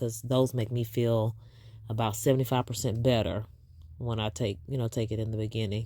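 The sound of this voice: In a very clean recording with a silent background, a woman with an extremely low pitch speaks in a dark, mellow tone with little pitch movement.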